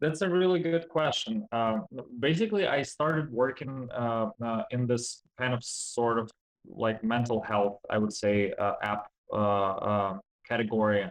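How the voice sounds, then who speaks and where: With a non-native accent, a man talks at a fairly slow pace and medium pitch, his intonation lively and his loudness very even. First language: not English. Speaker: game developer. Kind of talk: interview. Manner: halting.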